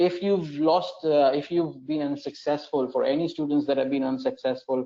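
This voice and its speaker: A man with a non-native accent speaks with fairly even intonation. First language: not English. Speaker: education manager hosting an exam webinar. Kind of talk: webinar Q&A. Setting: online broadcast. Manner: hesitant, many fillers and repetitions.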